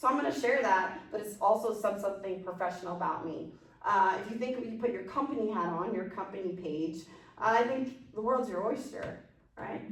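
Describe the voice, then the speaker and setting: Lively intonation marks this woman's fairly quick speech. Audible room echo and noticeable background noise come through. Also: medium pitch for a woman. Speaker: business branding consultant and presenter. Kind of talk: workshop Q&A. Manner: fast; animated.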